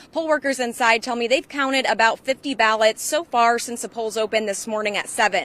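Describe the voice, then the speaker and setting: A woman's normal speaking voice at a fairly high pitch, fairly quick with hardly any pauses, ordinary pitch variation, and a dry, close sound with no echo. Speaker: TV news reporter and anchor. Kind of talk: on-location live shot. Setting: outdoors.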